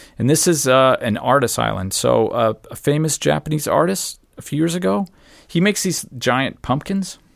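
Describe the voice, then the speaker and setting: The recording is very clean, and the background is silent. A man talks at a moderate pace. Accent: American. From Arizona, US. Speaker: traveler. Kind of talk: casual chat.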